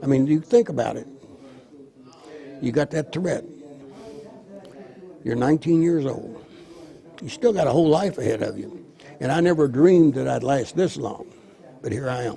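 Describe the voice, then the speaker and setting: A man with an American accent, fairly high pitch, lively intonation, a moderate pace, long and frequent pauses, and noticeable background noise. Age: 80s+. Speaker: war veteran. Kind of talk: interview.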